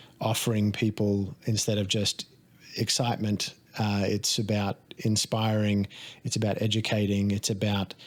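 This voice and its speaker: On a very clean recording with a silent background, a man with an Australian accent speaks in a fairly low, monotone, flat voice at very even loudness. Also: moderate pace. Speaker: life coach and stunt performer. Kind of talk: casual podcast conversation. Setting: studio.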